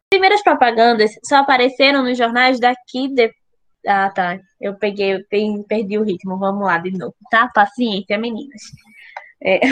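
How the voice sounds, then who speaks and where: Captured with a dry, close sound and no echo, a woman speaks at a fairly high pitch with ordinary pitch variation. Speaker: podcast host. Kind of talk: casual chat. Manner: fast; animated.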